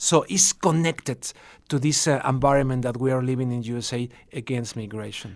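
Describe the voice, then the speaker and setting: A man with a Spanish accent, medium pitch, ordinary pitch variation and a fairly quick pace. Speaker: TV and radio journalist. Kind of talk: radio interview. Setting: radio studio. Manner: halting, with false starts.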